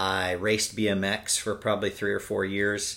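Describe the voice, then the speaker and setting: A man with a Californian accent, fairly low in pitch, at a fairly slow pace. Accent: Californian American. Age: 40s. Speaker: cyclist. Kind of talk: casual chat. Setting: at home.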